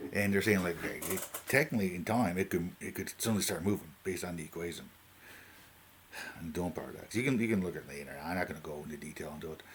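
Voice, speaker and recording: A man with a Newfoundland accent at a very fast pace, very deep and low in pitch, with ordinary pitch variation. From Newfoundland, Canada. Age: 40s. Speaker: YouTuber talking about AI. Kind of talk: casual unscripted monologue. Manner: halting, many fillers and restarts.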